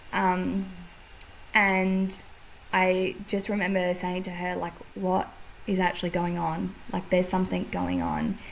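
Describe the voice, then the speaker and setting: A woman with an Australian accent, fairly slow, with long, frequent pauses. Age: 30s. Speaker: podcast host. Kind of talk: casual chat.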